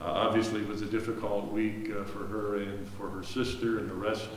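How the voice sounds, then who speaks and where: Light background noise runs under the voice. The room echo is audible. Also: man. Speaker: pastor. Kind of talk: church announcements. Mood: warm, earnest. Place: church. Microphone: camera far.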